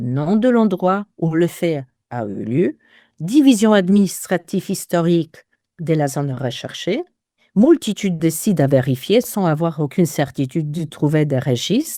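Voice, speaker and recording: A woman with a Polish accent talks at a fairly slow pace, her fairly low pitch carrying a dark, mellow tone and very wide pitch swings. The recording is very clean and dry, close with no echo, over a silent background. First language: Polish (speaking French). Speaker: genealogist. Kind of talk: interview.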